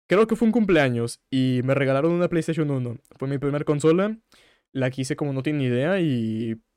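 Here a man speaks with a fairly high pitch and lively intonation. The recording is very clean, with a silent background. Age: 20s. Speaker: streamer and podcaster. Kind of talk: casual solo podcast with live chat. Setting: live stream. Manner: fast.

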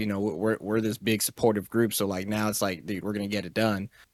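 A man is speaking. His pitch is fairly low. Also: very clean recording, silent background. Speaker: video game streamer, podcast co-host. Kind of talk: casual chat.

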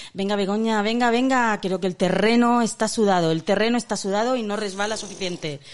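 There is noticeable background noise. A woman talks, her pitch varying in an ordinary way. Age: 50s. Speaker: podcast co-host. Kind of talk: casual chat.

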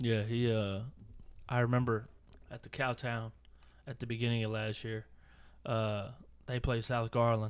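A man with an American accent speaks at a moderate pace and medium pitch. His delivery is flat and monotone, broken by long, frequent pauses. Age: 30s. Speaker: podcast host. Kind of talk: casual chat. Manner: halting, repeats words.

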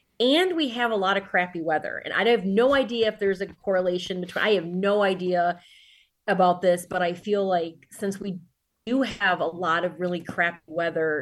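With an American accent, a woman talks at a moderate pace and medium pitch, using ordinary pitch variation. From Detroit suburbs, Michigan. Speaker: author and teacher. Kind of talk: casual interview.

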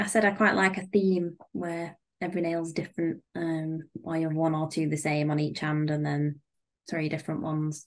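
Speaking at a moderate pace, a woman uses a very deep, low pitch and fairly even intonation. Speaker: podcast host. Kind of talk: casual chat.

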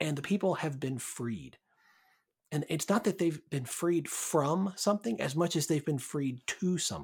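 A man talks at a moderate pace with ordinary pitch variation. He has a plain, everyday voice on a very clean recording with a silent background. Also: fairly high pitch for a man. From US South, Birmingham, Alabama. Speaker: pastor. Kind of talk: casual chat.

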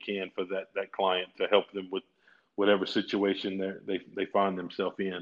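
A man speaks with a Louisiana accent at a moderate pace. His pitch is fairly low. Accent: southern US (Louisiana). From Louisiana, rural farm area. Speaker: personal injury lawyer. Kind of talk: casual interview.

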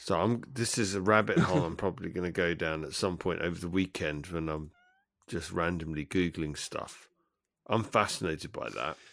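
In a very clean recording with a silent background, a man with an English accent and a very deep, low pitch speaks at a moderate pace with ordinary pitch variation. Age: 40s. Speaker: podcast co-host. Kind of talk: casual chat. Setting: call.

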